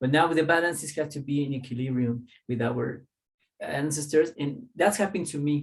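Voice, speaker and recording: A somewhat breathy man with a Spanish accent, at a moderate pace and with ordinary pitch variation. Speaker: holistic teacher. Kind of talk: casual interview chat.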